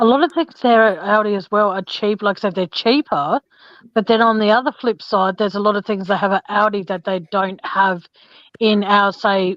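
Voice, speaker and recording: Medium-pitched female speech with an Australian accent, moderate pace, ordinary pitch variation, and a dry, close sound with no echo. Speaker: true crime channel host. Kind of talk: casual chat.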